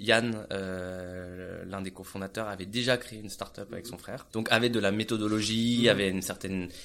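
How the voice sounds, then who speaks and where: Pitched fairly low, this man speaks in a monotone, flat intonation at a moderate pace. His loudness swings a lot, and he barely pauses. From France. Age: 30s. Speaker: entrepreneur. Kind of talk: interview. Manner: halting.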